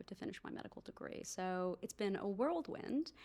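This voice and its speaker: A woman with an American accent speaks with vocal fry. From US, New Jersey. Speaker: doctor and startup founder. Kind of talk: podcast interview.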